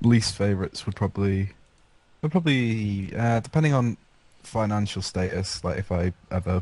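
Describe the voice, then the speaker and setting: A man talks with an English accent at a moderate pace. His tone is dark and mellow, with ordinary pitch variation. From England. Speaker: gaming podcast panelist. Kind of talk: casual chat.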